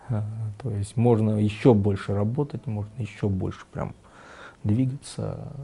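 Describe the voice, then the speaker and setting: A man's somewhat breathy voice, broken by long, frequent pauses. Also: fairly low pitch for a man, fairly even intonation, fairly slow pace. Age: 50s. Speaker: tapestry artist. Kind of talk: interview. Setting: artist's studio.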